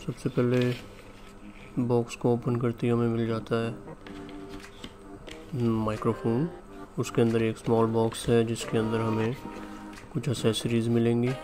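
Over clear background music, a man talks with monotone, flat intonation. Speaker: unboxing vlogger. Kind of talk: casual unboxing narration. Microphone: studio mic.

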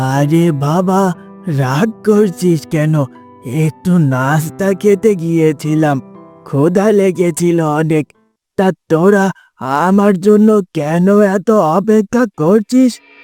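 A man uses a high-pitched cartoonish character voice at a fairly slow pace. Faint music sounds in the background. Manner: affectionate, folksy.

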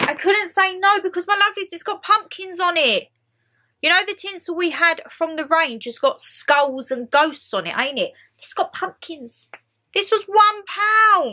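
A woman speaks at a fairly slow pace in a raised, projected voice with a bright, sharp tone and very wide pitch swings. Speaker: vlogger. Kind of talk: casual vlog chat, haul. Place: home room. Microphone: camera far.

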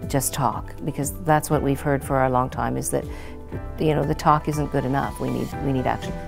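A woman speaks with ordinary pitch variation over clear background music. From Ontario, Canada. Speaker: political party leader. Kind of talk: interview answer. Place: classroom. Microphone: lapel.

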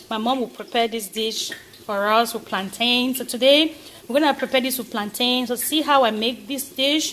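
A woman with a high pitch at a moderate pace, her intonation fairly even, over light background noise. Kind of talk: cooking tutorial. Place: kitchen. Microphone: phone near.

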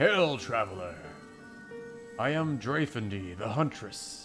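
A put-on character voice at a fairly slow pace, with clear music in the background. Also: man, medium pitch for a man. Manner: booming, grand.

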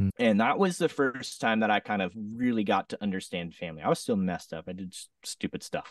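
Against a quiet background, a man with an American accent speaks with ordinary pitch variation in a dry sound with no echo. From US West Coast, southern Oregon. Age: 30s. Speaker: singer-songwriter and DJ. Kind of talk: casual interview chat. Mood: reflective, personal story. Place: home room. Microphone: studio mic.

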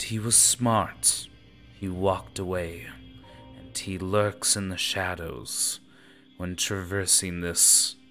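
Putting on a character voice, a man speaks in a very deep, low pitch at a fairly slow pace over clear music in the background. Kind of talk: booming villain threat. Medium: actual play. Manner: menacing, curt, commanding.

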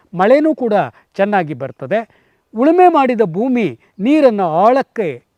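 A man's high-pitched voice with very wide pitch swings in a dry, close sound with no echo. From Karnataka, Tumkur district. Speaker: farmer, retired school principal. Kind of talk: interview monologue.

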